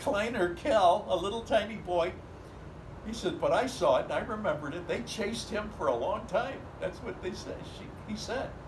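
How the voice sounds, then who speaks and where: Over noticeable background noise, a man speaks at a high pitch and a moderate pace, with ordinary pitch variation. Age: 80s+. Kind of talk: family storytelling.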